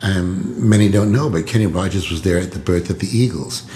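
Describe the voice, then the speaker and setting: Audible room echo surrounds this male speaker. Background noise is noticeable throughout. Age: 70s. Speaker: singer-songwriter. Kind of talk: podcast storytelling monologue. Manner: hesitant, many filler words. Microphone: laptop recording.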